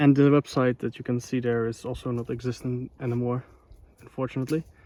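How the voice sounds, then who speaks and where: Delivered at a very fast pace with a Dutch accent, the dark, mellow voice stays monotone and flat, with a dry, close sound and no echo. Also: man, medium pitch for a man. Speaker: vlogger. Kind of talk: casual vlog narration. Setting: outdoors. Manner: casual, hesitant with fillers.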